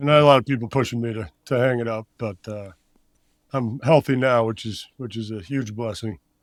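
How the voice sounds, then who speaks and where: A man's plain, everyday voice, with an American accent, medium pitch, fairly even intonation, a fairly quick pace and big swings in loudness, in a very clean recording over a silent background. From Iowa, US Midwest. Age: 30s. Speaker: former college football player, strength coach. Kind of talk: casual podcast interview.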